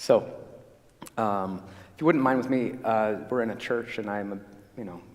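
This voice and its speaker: A man with a fairly low pitch speaks fairly quickly, his pitch varying in an ordinary way. Audible room echo and noticeable background noise come through. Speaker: dentist. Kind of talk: health talk to a church audience. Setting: church stage with audience. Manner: fast; loud.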